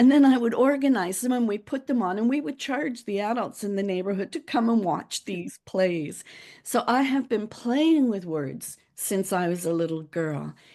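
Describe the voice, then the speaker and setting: A woman's fairly high, dark, mellow voice with very wide pitch swings, at a moderate pace with hardly any pauses against a quiet background. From Bermuda, born in Liverpool, England. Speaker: author and public speaking coach. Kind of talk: interview conversation.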